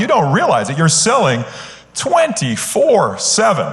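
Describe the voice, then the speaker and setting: A man speaks at a moderate pace with a Canadian accent. There's audible room echo and noticeable background noise. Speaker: sales consultant, conference speaker. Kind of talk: conference keynote talk. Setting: stage with live audience. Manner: animated, enthusiastic; frequent filler words (uh, um).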